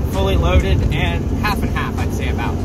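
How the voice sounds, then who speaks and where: A man against loud background noise. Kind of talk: casual vlog chat. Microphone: phone near.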